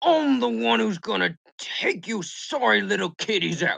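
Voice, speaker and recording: A put-on character voice sits at a middle pitch. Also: moderate pace. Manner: menacing.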